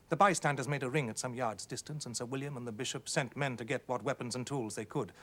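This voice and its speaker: An unremarkable speaking voice from a man at medium pitch, with ordinary pitch variation, on a very clean recording with a silent background. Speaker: actor, narrator. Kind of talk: ghost story reading.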